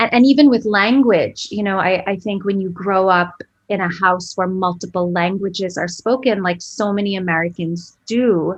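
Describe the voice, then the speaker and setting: At a moderate pace and with hardly any pauses, a woman speaks at a medium pitch with ordinary pitch variation. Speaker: author. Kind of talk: podcast interview. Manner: halting, many fillers.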